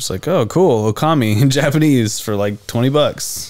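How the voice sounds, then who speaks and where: A man speaking at a fairly slow pace. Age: 30s. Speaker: podcast co-host. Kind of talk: casual chat. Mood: relaxed, joking. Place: home room. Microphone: studio mic.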